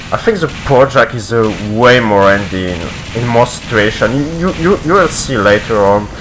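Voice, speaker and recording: Over music in the background, a man with a non-native accent and a medium pitch talks at a moderate pace with lively intonation. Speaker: competitive video game player. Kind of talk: gameplay video commentary.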